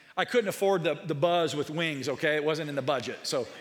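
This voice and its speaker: Audible room echo carries a man's fairly quick speech. His pitch is fairly high, with ordinary variation. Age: 40s. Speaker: pastor. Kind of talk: sermon.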